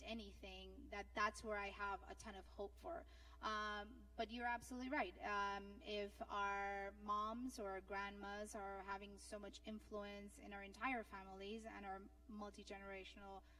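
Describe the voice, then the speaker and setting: Over noticeable background noise, a woman with a Spanish accent speaks at a fairly slow pace. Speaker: panelist. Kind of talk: panel discussion. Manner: halting.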